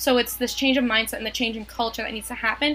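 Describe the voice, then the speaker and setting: This woman has a normal speaking voice, pitched fairly high, with fairly even intonation. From New York. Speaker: math teacher and podcast co-host. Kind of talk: casual chat.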